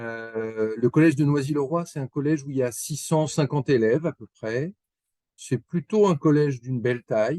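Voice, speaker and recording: A man with a fairly high pitch, a dark, mellow tone and ordinary pitch variation speaks at a fairly quick pace in a dry, close sound with no echo. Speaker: school principal. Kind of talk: information webinar presentation. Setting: online webinar. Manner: halting.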